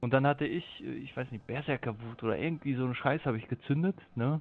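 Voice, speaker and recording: Ordinary pitch variation shapes this man's speech, an ordinary speaking voice. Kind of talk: casual chat.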